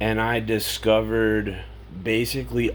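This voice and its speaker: Audible room echo hangs on words spoken fairly slowly. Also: man. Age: 40s. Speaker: vlogger. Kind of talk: casual monologue. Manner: conversational, filler words.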